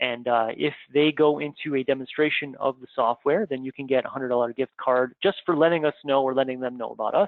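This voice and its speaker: A man talks in an ordinary speaking voice with a Canadian accent and medium pitch. His pace is fairly quick and his intonation fairly even. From Canada. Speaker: software trainer. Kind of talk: live webinar training session. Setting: live online broadcast.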